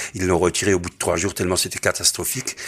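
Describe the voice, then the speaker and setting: A man with an Alsatian accent on a very clean recording with a silent background. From Alsace. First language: Alsatian (speaking French). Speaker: singer-songwriter and humorist, theatre director. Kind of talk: interview.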